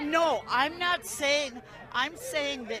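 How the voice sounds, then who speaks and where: In a room with audible echo and crowd noise behind her, a woman speaks at a very slow pace in a raised, projected voice. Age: 70s. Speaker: protester. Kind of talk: street interview. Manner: halting.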